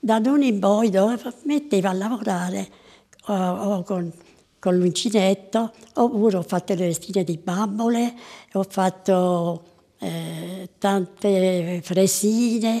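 A woman with a dark, mellow tone speaks very slowly, with long, frequent pauses. Her pitch variation is ordinary, and the background is quiet. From southern Italy, Piedimonte Matese (Caserta province); Campania, Italy. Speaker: centenarian interviewee; interviewee. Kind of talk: interview. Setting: at home. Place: home room. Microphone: lapel.

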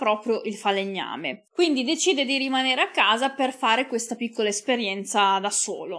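The voice has a bright, sharp tone. The background is quiet. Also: woman. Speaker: true crime YouTuber. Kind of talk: true-crime narration, scripted storytelling. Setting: home recording for video channel. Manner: measured, serious; sombre, occasionally moved. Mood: calm, serious. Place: studio. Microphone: studio mic.

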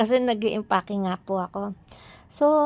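Her voice sits at a medium pitch for a woman and shows ordinary pitch variation. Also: dry, close sound with no echo. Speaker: vlogger. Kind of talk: casual vlog.

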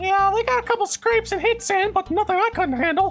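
Over clear background noise, a put-on character voice at an extremely high pitch chatters at a fairly quick pace. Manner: gleeful, joking, vindictive.

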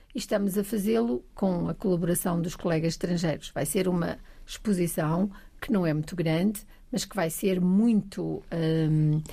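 A woman speaks at a moderate pace in a medium pitch, somewhat breathy, with a dark, mellow tone and ordinary pitch variation. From Trás-os-Montes, Portugal (Bragança). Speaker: science museum agency president. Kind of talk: casual chat.

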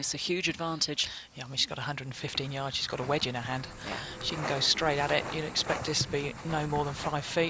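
Noticeable background noise sits under a man talking at a fairly quick pace with a fairly high pitch. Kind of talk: live golf commentary. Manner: animated, excitable, chatty, quick reactions to each shot; conversational, bantering, laughs often.

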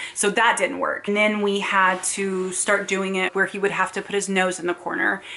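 A woman speaks with a monotone, flat intonation. She hardly pauses at all. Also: medium pitch for a woman, moderate pace. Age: 30s. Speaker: parent vlogger. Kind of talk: casual educational talk to camera. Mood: earnest, reflective. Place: home room. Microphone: camera far.

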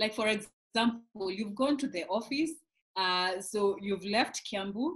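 Against a quiet background, a somewhat breathy woman with fairly high pitch speaks at a fairly slow pace with lively intonation. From Kenya. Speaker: pastor's wife. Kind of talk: interview. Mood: cheerful, laughing often. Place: home room. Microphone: video call.

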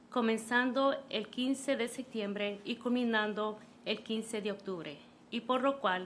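With a Spanish accent, a woman talks at a moderate pace in a fairly high pitch. Her pitch varies in an ordinary way. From Los Angeles (Pico Union), born in Honduras. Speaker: city councilor. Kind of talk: reading aloud a proclamation in Spanish. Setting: city council meeting. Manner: formal.

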